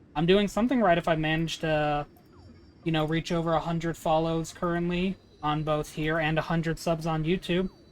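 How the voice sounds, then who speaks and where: Fairly quick speech over music in the background. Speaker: streamer. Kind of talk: casual chat.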